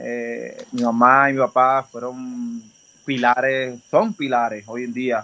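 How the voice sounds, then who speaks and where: Speaking very slowly in a Puerto Rican accent, a man with a medium pitch and a bright, sharp tone keeps a monotone, flat intonation while his loudness swings widely. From Puerto Rico, Dorado. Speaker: professional baseball pitcher. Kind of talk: interview.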